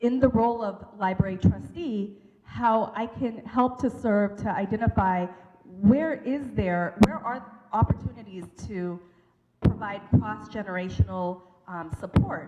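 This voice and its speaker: A woman with an American accent speaks in a normal speaking voice at a fairly slow pace, with medium pitch, ordinary pitch variation and big swings in loudness. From US Pacific Northwest. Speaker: local election candidate. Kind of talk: campaign speech at forum.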